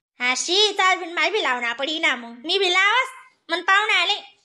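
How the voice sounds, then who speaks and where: In a cartoonish character voice, a woman speaks at an extremely high pitch with very wide pitch swings. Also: moderate pace. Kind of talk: rustic comic cartoon voicing. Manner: casual, bantering.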